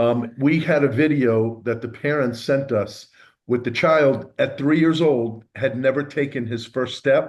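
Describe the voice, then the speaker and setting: In a normal speaking voice, a man talks at a medium pitch and a fairly slow pace with fairly even intonation against a quiet background. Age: 60s. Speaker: stem cell therapy practitioner. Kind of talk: interview.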